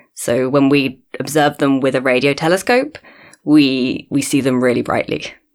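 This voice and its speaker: Speaking with a southern English accent, a woman uses a very deep, low pitch in a monotone, flat intonation, at a moderate pace and very even loudness. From London, England. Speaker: astronomer. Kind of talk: interview. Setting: studio.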